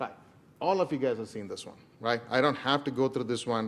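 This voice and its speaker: A man with an Indian accent speaks at a medium pitch. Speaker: enterprise architect. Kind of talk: presentation. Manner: fast.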